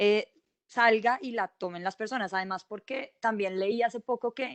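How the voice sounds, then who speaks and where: Using an ordinary speaking voice, a woman speaks at a fairly high pitch and a moderate pace with ordinary pitch variation. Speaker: journalist. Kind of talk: panel discussion.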